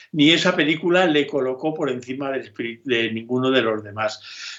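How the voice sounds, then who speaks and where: Speaking at a fairly quick pace, a man uses a medium pitch with ordinary pitch variation. He has a normal speaking voice. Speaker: film director. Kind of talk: interview.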